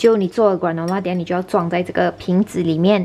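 The woman's voice rises and falls an ordinary amount. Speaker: home cooking vlogger. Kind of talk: casual vlog chat. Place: kitchen. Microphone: phone near.

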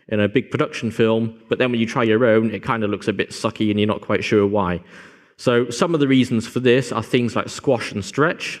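Against a quiet background, a man talks at a very fast pace with fairly even intonation. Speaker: conference presenter. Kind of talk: lecture. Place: hall.

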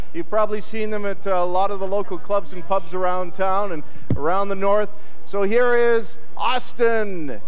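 A man with a high pitch, very even loudness and fairly even intonation, at a moderate pace over light background noise. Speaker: telethon host. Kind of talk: live TV announcement. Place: hall. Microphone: handheld.

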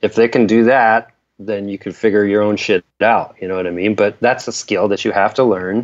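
A man's intonation stays monotone and flat while he keeps a moderate pace. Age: 50s. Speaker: indie rock guitarist. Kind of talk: casual interview chat.

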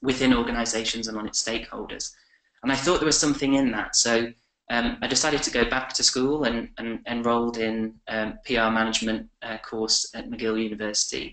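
A man with a bright, sharp tone, medium pitch, fairly even intonation and fairly quick pace, with audible room echo and a quiet background. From England. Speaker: communications professional; webinar guest. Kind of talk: webinar presentation. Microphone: webcam.

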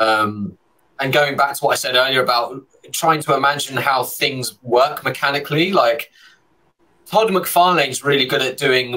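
Against a quiet background, a man with a London accent speaks at a moderate pace with ordinary pitch variation. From London, England. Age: 30s. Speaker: illustrator; guest. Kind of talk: casual chat. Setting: video call. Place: home room. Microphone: studio mic.

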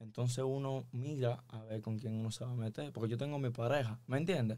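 Over a quiet background, a man speaks at a fairly quick pace. His tone is dark and mellow, his intonation fairly even. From Dominican Republic. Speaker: musician; guest. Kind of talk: casual chat. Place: studio. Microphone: studio mic.

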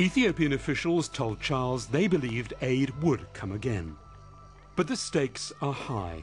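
Music plays in the background as a man talks at a medium pitch. His pitch swings very widely. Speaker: documentary narrator. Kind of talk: documentary narration.

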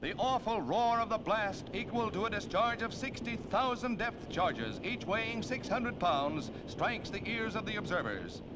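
Noticeable background noise accompanies a man speaking at a high pitch and moderate pace with ordinary pitch variation and hardly any pauses. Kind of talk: 1940s newsreel narration.

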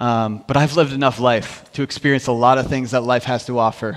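A man with an American accent is heard over a quiet background. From US Midwest. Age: 30s. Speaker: worship minister and youth pastor; preacher. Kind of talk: sermon. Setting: church service. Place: church.

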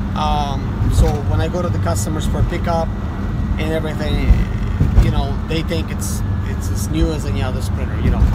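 A man's fairly quick speech broken by long, frequent pauses, over loud background noise. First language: Russian. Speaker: mobile mechanic and YouTuber. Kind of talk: tutorial. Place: car. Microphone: phone near.

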